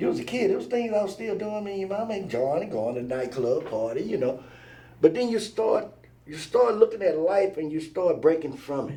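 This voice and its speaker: Speaking at a fairly quick pace with an American accent, a man with a high pitch and a dark, mellow tone makes very wide pitch swings and big swings in loudness, with audible room echo. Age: 60s. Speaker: truck driver and father of the host. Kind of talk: casual chat. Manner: animated.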